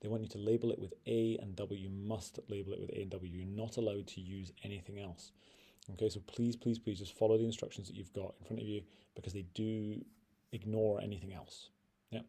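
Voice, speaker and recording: Somewhat breathy and dark, mellow in tone, the voice moves at a fairly quick pace in a flat monotone. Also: man, fairly low pitch for a man. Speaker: physics teacher. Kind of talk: tutorial. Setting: screen recording. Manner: fast.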